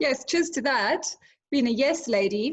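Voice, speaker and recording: A woman speaks with a South African accent. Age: 30s. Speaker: social media influencer and entrepreneur. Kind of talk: interview.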